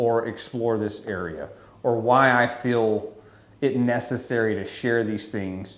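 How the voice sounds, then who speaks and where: Over audible room echo, a man with a Louisiana accent speaks very slowly at a medium pitch with fairly even intonation. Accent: Louisiana Southern US. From Louisiana, US South. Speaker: photographer and YouTuber. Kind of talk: casual to-camera monologue. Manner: wordy, rambling with fillers.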